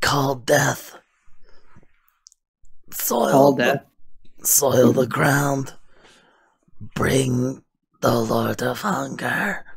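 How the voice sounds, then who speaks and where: A man's put-on character voice, medium pitched, breathy and raspy, at a very slow pace with long, frequent pauses. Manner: whispering, rasping.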